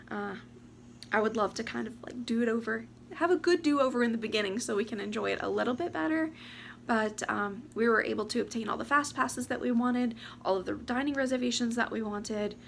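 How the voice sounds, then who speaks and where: This woman's pitch is fairly high. She speaks at a very fast pace. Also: ordinary pitch variation. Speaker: lifestyle vlogger. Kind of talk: casual vlog talk to camera. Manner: animated.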